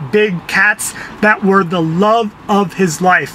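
Projecting a raised voice at a fairly slow pace, a man speaks with ordinary pitch variation over light background noise. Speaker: entertainment show host. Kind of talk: casual talk to camera. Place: car. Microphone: phone near.

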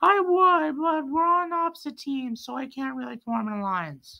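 A cartoonish character voice pitched high talks at a moderate pace. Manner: polite, measured.

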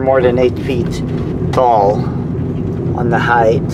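Very slow speech under loud background noise. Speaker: driver vlogger. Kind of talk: casual vlog chat. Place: car. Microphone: camera far.

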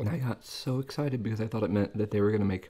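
A man's fairly low-pitched voice comes across as somewhat breathy. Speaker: food video creator. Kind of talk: casual vlog chat while eating. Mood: relaxed, chatty.

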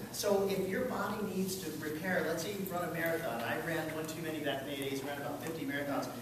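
Over noticeable background noise and strong room echo, a man with a fairly high pitch and ordinary pitch variation talks at a very fast pace with hardly any pauses. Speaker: landscape contractor and presenter. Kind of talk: presentation to a live audience. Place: meeting room. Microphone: camera far.

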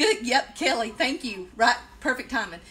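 A woman speaks at a fairly quick pace in a Southern US accent. Her pitch varies in an ordinary way. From South Carolina. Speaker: occupational therapist and DIY vlogger; DIY vlogger. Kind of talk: casual live-stream tutorial. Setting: Facebook Live video. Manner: rambling, chatty with fillers. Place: kitchen. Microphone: phone near.

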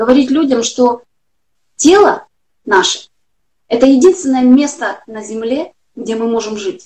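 Fairly slow delivery broken by long, frequent pauses. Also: woman, high pitch for a woman. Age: 40s. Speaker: health blogger. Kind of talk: interview. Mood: earnest, personal. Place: home room. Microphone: video call.

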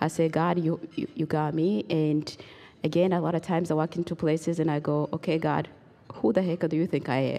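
A woman speaks at a fairly quick pace in a very deep, low voice. Her loudness is very even and her intonation fairly even. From Rwanda. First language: Kinyarwanda or French (not English). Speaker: genocide survivor and human rights advocate. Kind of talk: testimony. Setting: stage with audience. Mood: earnest, reflective. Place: hall. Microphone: handheld.

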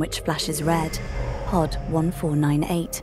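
Over clear music in the background, a woman speaks at a moderate pace with a dry sound and no echo. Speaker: audio describer. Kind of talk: audio description narration.

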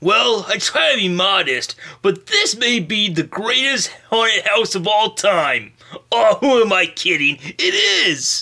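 The voice is a cartoonish character voice with a fairly high pitch, moving at a fairly slow pace. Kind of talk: comic puppet sketch. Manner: cocky, then nervous.

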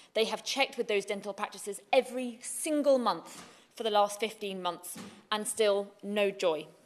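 A woman's pitch varies in an ordinary way as she speaks at a fairly slow pace. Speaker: legislator speaking in debate. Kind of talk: parliamentary speech. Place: hall. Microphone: podium.

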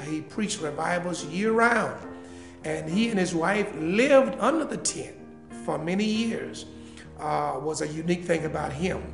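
A man's high-pitched voice at a moderate pace, with clear music in the background. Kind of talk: interview answer.

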